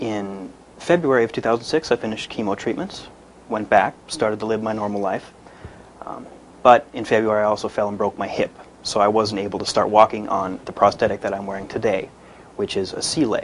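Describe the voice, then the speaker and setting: A man's normal speaking voice, fairly low in pitch, with ordinary pitch variation and a fairly quick pace. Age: 20s. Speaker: cancer survivor, amputee. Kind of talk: testimony.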